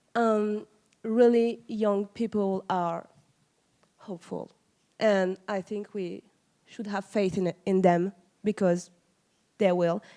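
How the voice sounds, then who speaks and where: Very slowly and with long, frequent pauses, a woman with a French accent speaks at medium pitch in a dark, mellow tone with fairly even intonation. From France. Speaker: museum educator. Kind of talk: audience question at conference panel.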